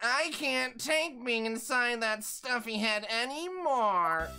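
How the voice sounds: Over clear music in the background, a female-sounding voice puts on a whiny character voice, high-pitched and fairly slow.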